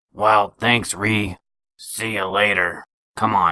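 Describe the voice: A raspy, cartoonish character voice from a man, fairly low in pitch and very slow, with a dry, close sound and no echo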